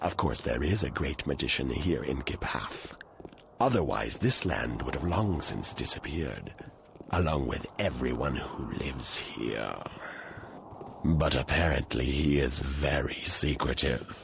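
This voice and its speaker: In a put-on character voice, a man speaks at a moderate pace with a very deep, low pitch over clear background noise. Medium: video game. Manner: measured, formal.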